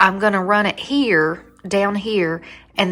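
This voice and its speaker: A woman talks with a Southern US accent. Music plays in the background. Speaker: home decor vlogger. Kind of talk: casual chat. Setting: at home. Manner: rambling, jumps between topics; animated.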